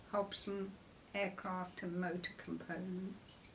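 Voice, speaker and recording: The speaker has an English Midlands accent and monotone, flat intonation. Background noise is noticeable. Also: woman. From Coventry, England. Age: 80s+. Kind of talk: interview answer. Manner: hesitant.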